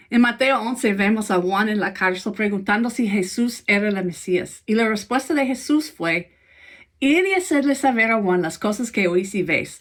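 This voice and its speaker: A woman with an American accent speaks fairly slowly in a fairly high voice with lively intonation. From United States. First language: English (speaking Spanish). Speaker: pastor. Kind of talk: sermon.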